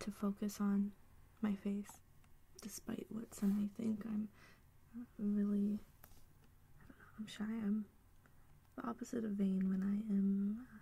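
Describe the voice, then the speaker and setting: Speaking at a fairly slow pace with long, frequent pauses, a woman's somewhat breathy, dark, mellow voice sits at a medium pitch and swings widely in loudness. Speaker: singer-songwriter. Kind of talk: ASMR soft-spoken talk to camera. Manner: soft-spoken.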